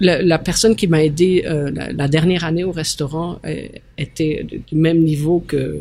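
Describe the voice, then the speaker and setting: Her voice is fairly low-pitched and somewhat breathy, with a dark, mellow tone. The woman speaks at a moderate pace. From Belgium. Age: 60s. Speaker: mayor and former restaurant owner. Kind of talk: casual interview chat.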